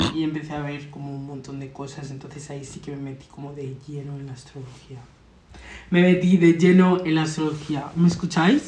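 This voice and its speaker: Over noticeable background noise, a woman talks quietly. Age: 20s. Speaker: guest, astrology enthusiast. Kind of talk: casual chat. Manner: uneven volume, loud then suddenly quiet; code-switching Spanish and English.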